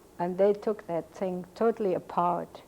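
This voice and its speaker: A woman with a German accent, dark and mellow in tone, at a moderate pace with fairly even intonation. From Cologne, Germany. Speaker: Holocaust survivor. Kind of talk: oral history interview answer.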